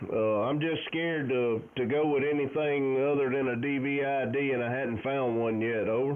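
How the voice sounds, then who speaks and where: A man with a Southern US accent speaks at a moderate pace and a fairly high pitch. Background noise is noticeable. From US South, Alabama Gulf Coast. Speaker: amateur radio operator. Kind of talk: casual chat. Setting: radio contact.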